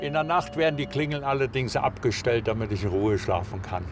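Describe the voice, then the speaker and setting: A man is speaking over light background noise. The sound is dry with no echo. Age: 70s. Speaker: former baker. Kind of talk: interview answer. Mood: cheerful, storytelling. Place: street.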